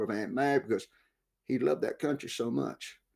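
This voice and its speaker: This man speaks with a West Texas accent. His pitch is medium. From West Texas, Big Bend. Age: 60s. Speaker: war veteran and author. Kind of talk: interview.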